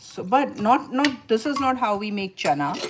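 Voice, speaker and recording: Noticeable background noise behind a woman speaking with a Bengali accent. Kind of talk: cooking demonstration. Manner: halting.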